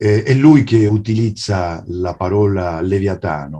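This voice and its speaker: A man's somewhat breathy, fairly low voice with a dark, mellow tone and a Spanish accent, at a very slow pace against a quiet background. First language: Spanish (speaking Italian). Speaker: writer and translator; guest. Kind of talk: lecture. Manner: halting. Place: home room. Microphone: video call.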